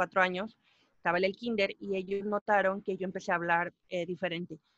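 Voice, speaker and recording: A medium-pitched woman with fairly even intonation, in a dry, close sound with no echo. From Mexico. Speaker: musician and podcaster. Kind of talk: interview.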